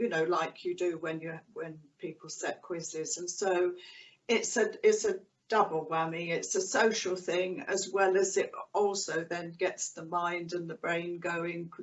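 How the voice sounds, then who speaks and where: A woman in a normal speaking voice, fairly low in pitch, with fairly even intonation at a fairly slow pace. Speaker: carer and spouse of stroke survivor. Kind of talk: interview answer.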